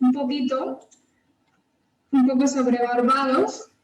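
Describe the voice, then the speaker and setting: Talking at a very slow pace, a woman uses a high pitch and fairly even intonation. Some room echo is audible. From Spain, Almería. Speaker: Spanish language lecturer abroad. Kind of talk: informational webinar talk. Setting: video call webinar.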